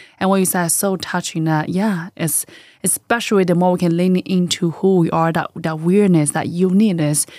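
A woman with a fairly low pitch talks at a moderate pace. The recording is very clean, with a silent background. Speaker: podcast host. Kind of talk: interview. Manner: enthusiastic.

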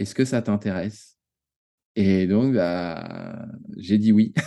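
A man's fairly low, dark, mellow voice at a very slow pace, with ordinary pitch variation and a quiet background. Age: 30s. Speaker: watercolour teacher, former engineer. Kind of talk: interview. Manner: halting.

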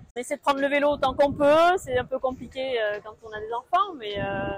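A woman speaks in a high voice with lively intonation over noticeable background noise. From southwest France, near the Pyrenees. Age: 40s. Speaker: accountant and amateur runner. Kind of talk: interview. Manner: halting, many hesitations.

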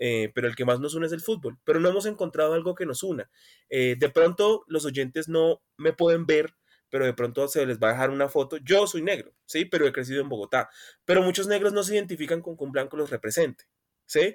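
On a very clean recording with a silent background and a dry, close sound with no echo, a man uses a normal speaking voice at a fairly high pitch with ordinary pitch variation and a fairly quick pace. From Colombia, Buenaventura (Pacific coast, Valle). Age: 20s. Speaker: law student, podcast guest. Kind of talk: casual political discussion.

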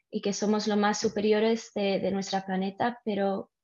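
At a fairly slow pace, a woman with a non-native accent speaks in a fairly high pitch with a dark, mellow tone. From Mallorca, Spain then abroad; Dutch-Swedish-Panamanian family. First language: not Spanish (speaking Spanish). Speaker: guest, ocean conservation interest. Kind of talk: casual interview. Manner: halting.

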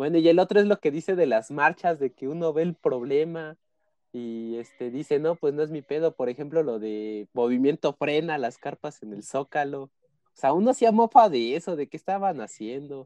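This man's voice is fairly high in pitch, dark and mellow, with lively intonation and big swings in loudness at a moderate pace. The sound is dry and close with no echo, against a quiet background. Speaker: podcast co-host. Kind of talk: casual chat.

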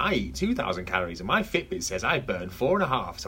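In a whiny, put-on character voice, a man speaks at a moderate pace against clear background noise.

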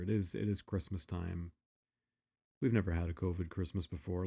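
Very fast speech in a dark, mellow tone comes through somewhat breathy, with ordinary pitch variation. The recording is very clean with a silent background, and the sound is dry and close with no echo. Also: man. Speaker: podcast host. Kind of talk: storytelling monologue, casual. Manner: casual, filler-heavy, conversational.

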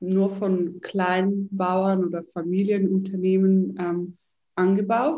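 Here is a woman with a medium-pitched voice. Her tone is dark and mellow. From Switzerland, Zurich. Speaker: entrepreneur and yoga teacher. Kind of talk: interview.

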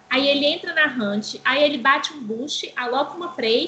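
A woman with a high-pitched, raised and projected voice speaks at a moderate pace with lively intonation over noticeable background noise. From Brazil, Belo Horizonte. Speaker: game streamer. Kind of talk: casual chat.

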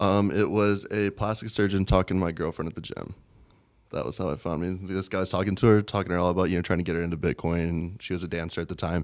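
In a very clean recording with a silent background, a man with a very deep, low pitch speaks very fast with fairly even intonation. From rural US, small farm town. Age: 20s. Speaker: former soldier turned crypto investor. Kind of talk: interview.

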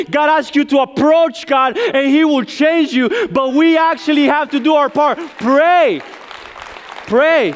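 Over crowd noise in the background, a man talks at a fairly slow pace with an extremely high pitch, ordinary pitch variation and very even loudness. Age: 30s. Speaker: visiting preacher. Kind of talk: sermon. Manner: interactive call-and-response.

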